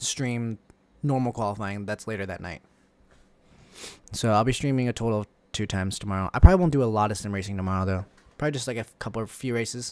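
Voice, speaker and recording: On a very clean recording with a silent background, a man with a fairly low pitch talks very fast, with ordinary pitch variation and long, frequent pauses. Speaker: streamer. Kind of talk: casual livestream commentary.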